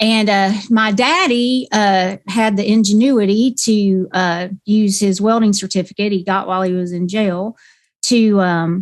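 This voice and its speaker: Quiet background, a woman with an American accent at a medium pitch, fairly even intonation, and a fairly slow pace. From Florida, Wildwood (US South). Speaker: singer-songwriter. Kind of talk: interview, storytelling. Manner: casual, hesitant with fillers.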